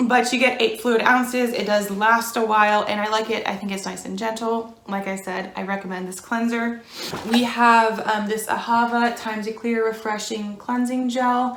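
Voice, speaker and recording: With an American accent, a woman speaks at a moderate pace and a fairly high pitch in a monotone, flat intonation, amid audible room echo and light background noise. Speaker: beauty vlogger. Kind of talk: casual vlog talk.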